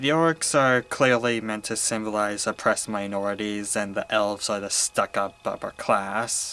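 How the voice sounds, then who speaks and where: Here a man speaks with a bright, sharp tone and fairly low pitch. His pace is moderate, with ordinary pitch variation and hardly any pauses. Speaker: movie reviewer. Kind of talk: review monologue, partly read from notes. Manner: halting, frequent repetitions.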